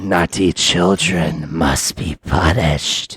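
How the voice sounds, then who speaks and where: A man puts on a raspy character voice, very deep and low in pitch, speaking at a very slow pace. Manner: scolding, threatening.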